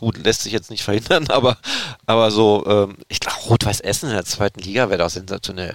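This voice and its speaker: In an ordinary speaking voice, a man with a fairly low pitch talks at a fairly quick pace with ordinary pitch variation, the sound dry and close with no echo. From Erzgebirge region, Saxony. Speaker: football podcast host. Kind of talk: casual chat.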